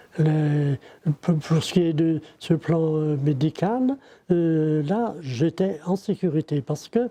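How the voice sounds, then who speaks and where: A man speaks with a fairly high pitch and a dark, mellow tone. The sound is dry and close with no echo, against a quiet background. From Ille-et-Vilaine, Brittany, France. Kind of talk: interview answer. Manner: hesitant.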